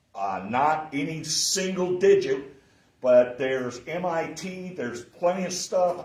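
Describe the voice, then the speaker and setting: Lively intonation carries a man's fairly high voice. Music plays in the background, and the room echo is audible. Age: 60s. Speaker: political candidate. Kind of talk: candidate forum speech. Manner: loud.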